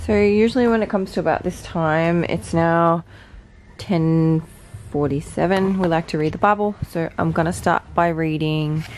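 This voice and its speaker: A woman speaks at a moderate pace in a fairly low voice, with ordinary pitch variation over light background noise. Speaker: vlogger. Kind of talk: casual vlog chat. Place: home room. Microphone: phone near.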